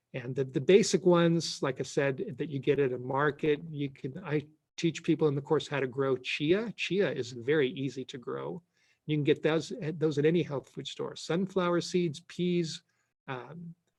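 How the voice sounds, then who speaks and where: A somewhat breathy man speaks at a fairly high pitch. His pace is moderate, and his pitch varies in an ordinary way. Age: 60s. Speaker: pastor and sprouting course teacher. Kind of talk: Q&A session on online presentation. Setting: live online presentation. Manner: casual, halting with repetitions.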